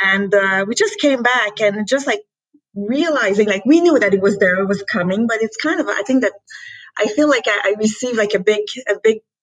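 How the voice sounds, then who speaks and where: Speaking in a Quebec accent, a woman moves at a fairly quick pace. Her pitch is fairly high, with ordinary variation. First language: French. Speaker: company founder and president. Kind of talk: interview. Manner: halting, many fillers.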